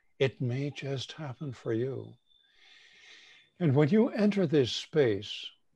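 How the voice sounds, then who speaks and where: Very slow and somewhat breathy, a man's fairly high voice carries a dark, mellow tone and lively intonation against a quiet background. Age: 70s. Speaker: shamanic teacher. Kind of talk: guided meditation.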